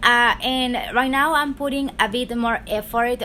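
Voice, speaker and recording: Her tone bright and sharp, a woman with a high pitch speaks at a fairly slow pace. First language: Spanish. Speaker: tarot reader, YouTuber. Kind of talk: casual chat. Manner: unscripted, halting.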